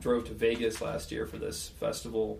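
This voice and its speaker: In a room with audible echo, a man with an American accent talks at a moderate pace. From rural Western Colorado. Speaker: touring guitarist and songwriter. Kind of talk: casual chat.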